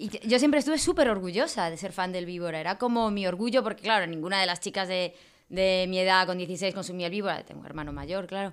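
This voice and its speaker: On a very clean recording with a silent background, a woman speaks in a normal speaking voice at a medium pitch and fairly quick pace, with ordinary pitch variation. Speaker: wine marketer and event promoter. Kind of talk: casual chat.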